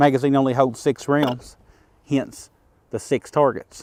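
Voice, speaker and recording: A man with an Appalachian accent talks at a moderate pace and medium pitch, in a dry, close sound with no echo. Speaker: firearms YouTuber. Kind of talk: tutorial. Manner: casual.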